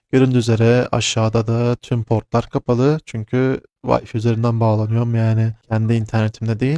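A man speaks at medium pitch and a moderate pace, his tone dark and mellow. The sound is dry and close, with no echo. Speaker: tech vlogger learning cybersecurity. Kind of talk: tutorial.

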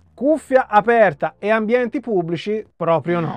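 Over a quiet background, a man speaks at a fairly slow pace in a dry sound with no echo. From Italy. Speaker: hi-fi and music YouTuber; audio reviewer. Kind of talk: product review. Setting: small home studio. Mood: calm, expressive explaining. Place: home room.

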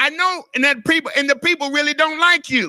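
Against a quiet background, a man uses a raised, projected voice with an animated tone that sounds bright and sharp. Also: dry sound with no echo. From US South. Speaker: pastor. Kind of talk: sermon: call-and-response church teaching on authority, with scripture and asides. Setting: church. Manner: animated, repetitive preacher cadence with stacked words; playful, teasing asides to the congregation. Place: church. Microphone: handheld.

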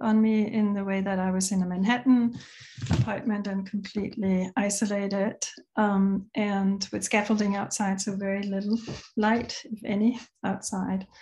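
Somewhat breathy, a woman speaks at a fairly high pitch and moderate pace. Her intonation stays monotone and flat. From Denmark. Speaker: multimedia artist. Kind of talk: artist talk presentation. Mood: calm, reflective. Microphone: video call.

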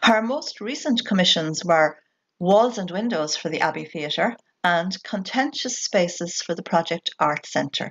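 A woman's fairly low voice with a slightly husky edge, fairly bright tone and lively intonation, at a fairly slow pace

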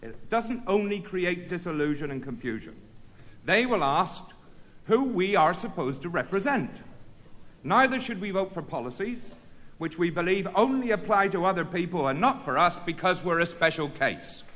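A man's high, bright and sharp voice with lively intonation at a moderate pace. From Britain. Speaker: trade union leader. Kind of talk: union congress speech. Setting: conference hall with audience. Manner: formal; earnest, rhetorical. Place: hall. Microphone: podium.

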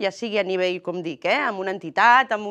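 Against a quiet background, a woman keeps to a moderate pace. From Catalonia. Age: 40s. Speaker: politician. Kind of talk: political interview. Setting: TV studio. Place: studio. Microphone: lapel.

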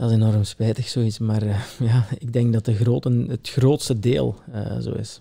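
A man's dark, mellow, somewhat breathy voice of medium pitch moves at a fairly slow pace with hardly any pauses and fairly even intonation. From Belgian Limburg, Italian family. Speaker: tailor. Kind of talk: casual interview.

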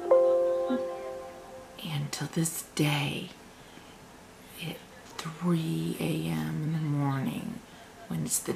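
A woman is speaking. Loud background noise runs under her voice. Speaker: vlogger. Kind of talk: casual storytelling to camera, vlog. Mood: spooky hushed storytelling. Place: home room. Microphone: webcam.

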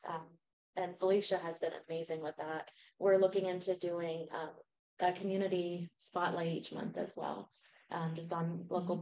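Delivered at a moderate pace, the voice has a dark, mellow tone and monotone, flat intonation. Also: woman. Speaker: grassroots organizer. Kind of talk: community group discussion. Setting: in-person community gathering. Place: meeting room. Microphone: camera far.

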